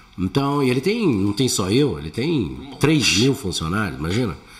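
This man's pitch sits in the medium range. It swings very widely as he talks. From Brazil, São Paulo. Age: 60s. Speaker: comedian. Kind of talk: casual chat.

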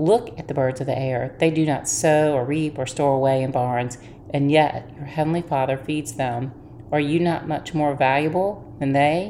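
Against noticeable background noise, a woman with a very deep, low pitch and a warm, gentle tone talks at a moderate pace with ordinary pitch variation. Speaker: devotional host. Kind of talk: fervent prayer, earnest and heartfelt, addressing God directly; devotional talk with scripture reading. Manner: earnest, warm and fervent, gentle devotional delivery; calm, reassuring and encouraging.

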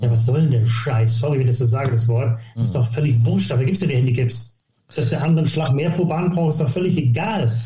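A man speaks very fast at a medium pitch, with ordinary pitch variation and very even loudness. Room echo is audible. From northern Germany, near Hamburg (Harburg). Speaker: golf coach. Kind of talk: podcast interview. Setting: remote audio recording, no video.

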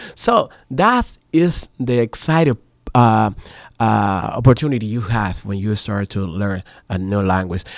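On a very clean recording with a silent background, a man with a Spanish accent speaks at a fairly low pitch and a fairly slow pace, with ordinary pitch variation. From Dominican Republic. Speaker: voice actor and media professional. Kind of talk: radio interview. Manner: halting.

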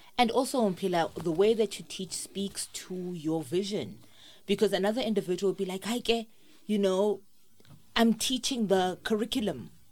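Her accent is South African. The woman talks at a moderate pace and medium pitch, with ordinary pitch variation. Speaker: podcast host. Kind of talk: interview. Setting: studio.

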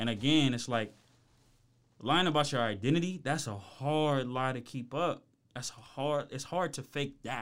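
Here is a man with an American accent and an ordinary speaking voice. He talks at a medium pitch and a moderate pace. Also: ordinary pitch variation. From Ohio, Columbus. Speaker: rapper and creative. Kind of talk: casual podcast interview. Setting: studio.

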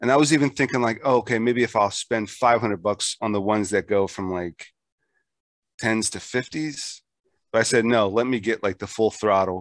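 The pitch moves with ordinary variation. The sound is dry and close, with no echo. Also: man, medium pitch for a man, moderate pace. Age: 40s. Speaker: podcast host. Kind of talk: casual chat.

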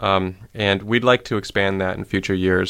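Very deep and low, a man's voice moves with fairly even intonation. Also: very clean recording, silent background. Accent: Midwestern. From US Midwest, Ohio (Shaker Heights). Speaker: community development director. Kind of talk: radio interview. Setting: studio.

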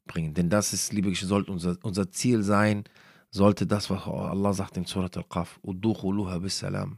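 On a very clean recording with a silent background, a man speaks at a fairly quick pace with a very deep, low pitch. His intonation is monotone and flat, yet his loudness swings widely. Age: 30s. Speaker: Islamic podcast speaker. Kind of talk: religious talk. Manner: hesitant with many fillers.

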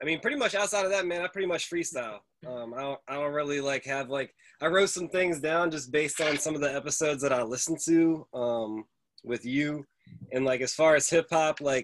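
A man's voice, fairly high in pitch and fairly quick in pace, a normal speaking voice with ordinary pitch variation. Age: 30s. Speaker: podcast host. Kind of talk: casual chat.

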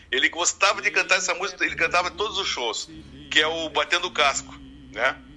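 With a southern Brazilian accent, a man speaks at a fairly quick pace in a high pitch with a bright, sharp tone. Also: ordinary pitch variation. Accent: gaúcho Brazilian Portuguese. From Uruguaiana, Rio Grande do Sul, Brazil. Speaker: singer-songwriter. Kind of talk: casual interview.

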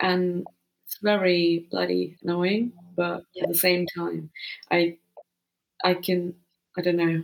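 Very slowly and with long, frequent pauses, a woman talks at a fairly low pitch in a monotone, flat intonation, with big swings in loudness. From India (Pune, near Mumbai). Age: 20s. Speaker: adventure cyclist. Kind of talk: interview. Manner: hesitant, with many fillers.

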